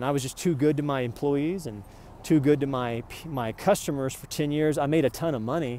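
The sound is dry with no echo, over light background noise. Pitch variation is ordinary. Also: man. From Oklahoma. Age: 40s. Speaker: vlogger. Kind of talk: rant. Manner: animated. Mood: agitated, aggrieved. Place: street. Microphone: earbuds.

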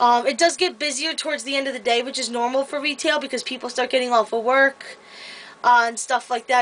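Fairly even intonation at a fairly quick pace. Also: woman. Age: 20s. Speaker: vlogger and retail store employee. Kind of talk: casual vlog monologue. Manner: hesitant, many filler words. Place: home room. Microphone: webcam.

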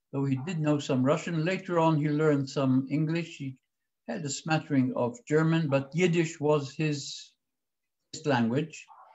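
A fairly high-pitched, somewhat breathy male voice at a fairly slow pace, with fairly even intonation. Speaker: historian and former government spokesman. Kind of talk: lecture.

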